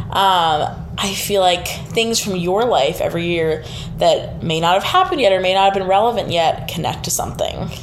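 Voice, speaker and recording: Against noticeable background noise, a woman talks at a moderate pace with hardly any pauses. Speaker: student podcast host. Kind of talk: interview.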